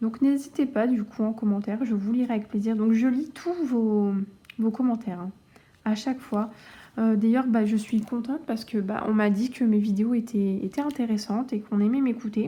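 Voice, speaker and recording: A woman speaks at a moderate pace with fairly even intonation. Her tone is dark and mellow and somewhat breathy. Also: fairly high pitch for a woman. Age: 20s. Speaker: cross-stitch youtuber. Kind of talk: casual chat. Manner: halting.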